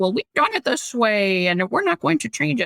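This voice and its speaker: This put-on character voice sits at a middle pitch, swings very widely in pitch, and moves at a moderate pace. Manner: mocking.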